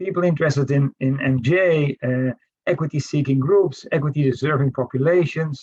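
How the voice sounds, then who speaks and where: A somewhat breathy delivery in a Dutch accent at a moderate pace, with fairly even intonation and a dry, close sound with no echo. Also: man. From Netherlands. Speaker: professor. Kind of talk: panel discussion. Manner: halting, many fillers.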